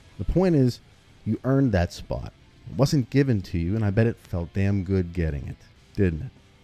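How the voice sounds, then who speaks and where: With music in the background, a man speaks at a moderate pace, fairly low in pitch, with lively intonation. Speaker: gaming YouTuber. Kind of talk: video essay commentary.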